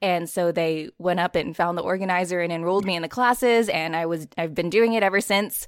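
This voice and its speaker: A woman speaks in a normal speaking voice, fairly low in pitch with ordinary pitch variation. She talks at a fairly quick pace with hardly any pauses. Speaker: audiobook narrator and actor. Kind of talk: casual interview.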